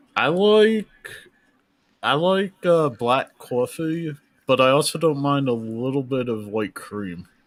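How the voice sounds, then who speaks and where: At a very slow pace, a man with a slight New Jersey accent speaks in a fairly high voice that makes very wide pitch swings. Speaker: live stream co-host. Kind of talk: casual live stream Q&A.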